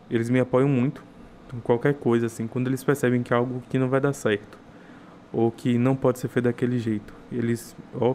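The speech moves at a moderate pace. It comes in a normal speaking voice. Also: man. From interior of Bahia, Brazil. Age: 20s. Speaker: food entrepreneur and gastronomy student. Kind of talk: casual interview chat. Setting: studio.

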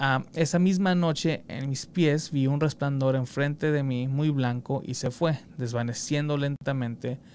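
A man talks at a moderate pace in a plain, everyday voice. His pitch sits fairly high with ordinary variation. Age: 30s. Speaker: podcast host. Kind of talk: casual chat.

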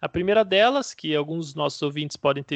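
Against a quiet background, a man with a normal speaking voice and a fairly high pitch talks at a fairly quick pace with ordinary pitch variation. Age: 30s. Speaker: basketball podcast host. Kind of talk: casual sports analysis chat.

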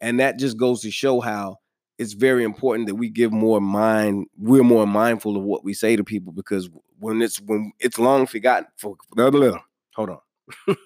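In a very clean recording with a silent background, a man with an American accent speaks in a normal speaking voice. He talks at a moderate pace, medium in pitch with fairly even intonation. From New York. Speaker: podcast host. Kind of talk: casual interview chat.

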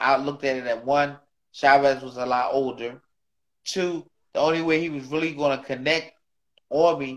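At a moderate pace, a man speaks with a fairly high pitch and fairly even intonation. Long, frequent pauses break up his delivery, and his loudness swings widely. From Philadelphia, US. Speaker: retired boxer and trainer. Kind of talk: casual interview.

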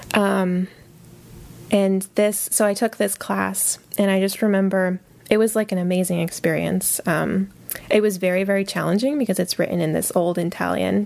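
A woman with an American accent has an unremarkable speaking voice at a medium pitch. She keeps a moderate pace, fairly even intonation and very even loudness. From Connecticut, US. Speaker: librarian. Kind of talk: casual interview.

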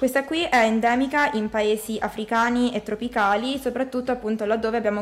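This woman has an ordinary speaking voice, pitched fairly high with ordinary pitch variation. She talks at a fairly quick pace. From Marche, San Benedetto del Tronto. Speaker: medical student. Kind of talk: educational radio explanation.

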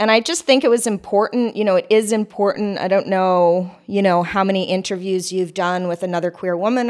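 A woman with an ordinary speaking voice, medium pitch and fairly even intonation is heard in a very clean recording with a silent background. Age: 40s. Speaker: podcast host. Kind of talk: casual interview. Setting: artist's studio.

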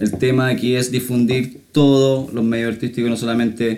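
This man has a dark, mellow tone and speaks with a Chilean accent. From Chile, town near Santiago. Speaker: podcast host. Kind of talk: casual chat. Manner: animated.

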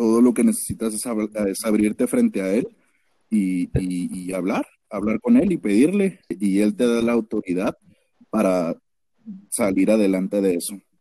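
The sound is close and dry, without any echo. A man delivers his words at a fairly slow pace. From Mexico, Ciudad Juárez. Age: 20s. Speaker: guest sharing religious testimony. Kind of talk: testimony.

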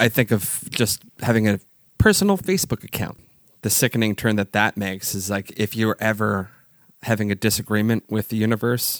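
A man with a fairly low pitch speaks at a moderate pace in a dry, close sound with no echo. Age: 30s. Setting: video call.

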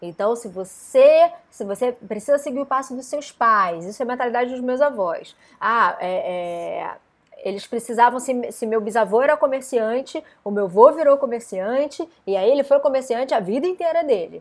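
A woman's high voice with lively intonation and big swings in loudness on a very clean recording with a silent background. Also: moderate pace. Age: 30s. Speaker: wellness coach. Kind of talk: live stream talk. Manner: casual.

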